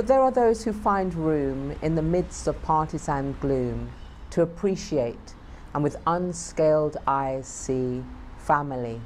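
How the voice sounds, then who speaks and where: Someone speaks at a very slow pace over light background noise. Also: woman. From United Kingdom. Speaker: performance poet. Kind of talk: poetry reading. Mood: proud, warm.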